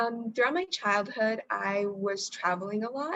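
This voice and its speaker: A woman's medium-pitched voice at a moderate pace, with an American accent. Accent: American English accent when speaking Marathi. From US, raised partly in India. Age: young. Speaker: engineering student. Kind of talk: interview. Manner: halting, many fillers.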